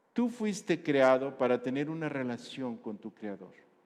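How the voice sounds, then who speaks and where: Fairly slow and fairly high-pitched, a man delivers his words. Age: 60s. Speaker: pastor. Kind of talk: sermon.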